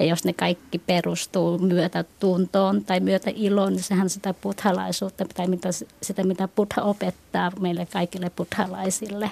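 Dark and mellow in tone, a woman's voice has a medium pitch and vocal fry. Her intonation is monotone and flat, and the sound is dry and close with no echo. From Finland, moved from Vietnam at age 7. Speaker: Buddhist youth organization member. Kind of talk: radio panel discussion. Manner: hesitant, many fillers.

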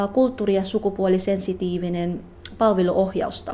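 Fairly even in intonation, a woman with a Tagalog accent talks at a moderate pace. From Philippines, Cavite City. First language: Tagalog (speaking Finnish). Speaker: psychologist. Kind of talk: interview. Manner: halting.

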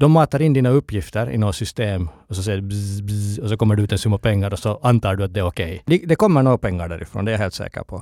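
Speaking at a very fast pace with a Finland-Swedish accent, a man has a fairly low pitch and ordinary pitch variation, in a very clean recording with a silent background and a dry, close sound with no echo. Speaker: podcast host. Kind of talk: casual chat. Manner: halting, hesitant.

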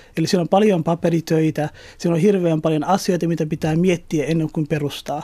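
The recording is very clean with a silent background. A man with a high pitch speaks in a dark, mellow tone with fairly even intonation. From Somalia. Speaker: politician. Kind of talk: interview. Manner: hesitant, many fillers.

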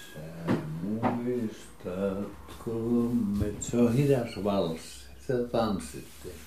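A man with a fairly low pitch and lively intonation at a very slow pace, with audible room echo. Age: 80s+. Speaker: retired printer, grandfather. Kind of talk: casual reminiscing conversation. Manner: halting.

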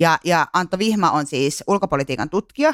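Speech moves at a moderate pace on a very clean recording where the background is silent. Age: 30s. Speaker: podcast co-host. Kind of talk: casual chat about media.

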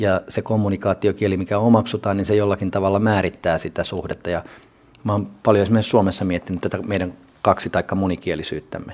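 Fairly level intonation at a very rapid speed, with clearly audible background noise. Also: man, fairly low pitch for a man. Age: 40s. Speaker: art museum director. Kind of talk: interview.

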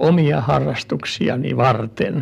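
A man is speaking. His pace is very slow. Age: 80s+. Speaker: art collector. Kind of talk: interview. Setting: at home.

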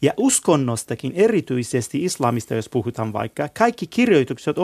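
In a quiet background with a dry, close sound and no echo, a man with a Kurdish accent speaks at a moderate pace with a fairly high pitch and lively intonation. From Iran. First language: Kurdish (speaking Finnish). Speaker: Middle East researcher and consultant. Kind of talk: discussion.

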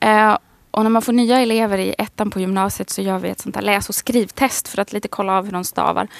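A woman talks at a fairly quick pace in a monotone, flat intonation. The recording is very clean, with a silent background. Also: medium pitch for a woman, dry, close sound with no echo. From Sweden, Västerås. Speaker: high school teacher and author. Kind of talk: radio interview.

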